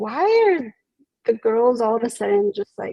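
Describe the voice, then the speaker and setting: A woman speaks with a high pitch. The sound is dry and close, with no echo. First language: Spanish. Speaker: psychologist. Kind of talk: interview.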